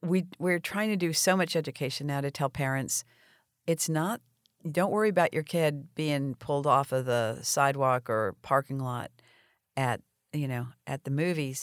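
With an American accent, a woman speaks at a moderate pace with very deep, low pitch, the sound dry and close with no echo in a very clean recording with a silent background. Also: ordinary pitch variation. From South Florida. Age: 60s. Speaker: nonprofit executive director. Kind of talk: interview.

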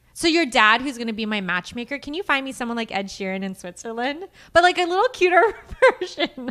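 Raised and projected, a woman's high, bright, sharp voice moves at a fairly quick pace with very wide pitch swings. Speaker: podcast co-host. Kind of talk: casual banter. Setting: live webcast.

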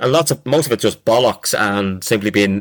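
A man's medium-pitched voice with a Dublin accent, ordinary pitch variation and a moderate pace, in a dry, close sound with no echo. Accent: Dublin Irish. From Ireland, Dublin. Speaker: professor. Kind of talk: casual chat. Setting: video call.

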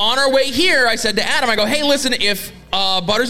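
A man speaks in a raised, projected voice. His pace is moderate and his pitch varies in an ordinary way. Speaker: wrestling podcast host. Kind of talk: casual chat, comedic banter.

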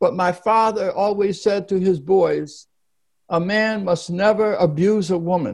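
Speaking with an American accent, a man with a high pitch talks at a fairly slow pace. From US Northeast, Philadelphia. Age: 80s. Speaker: nonprofit founder and author. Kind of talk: interview.

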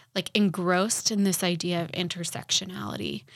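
A woman with an American accent speaks at a moderate pace in an unremarkable speaking voice, her pitch medium and her intonation fairly even. The recording is very clean, with a silent background. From Utah (Salt Lake City). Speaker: podcast co-host. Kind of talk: casual chat.

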